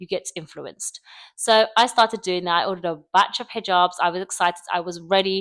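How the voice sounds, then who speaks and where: In a very clean, dry and close recording with a silent background and no echo, a woman with a British accent talks fairly quickly at a medium pitch. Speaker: YouTuber. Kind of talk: casual vlog monologue. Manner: fast; loud. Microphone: close microphone.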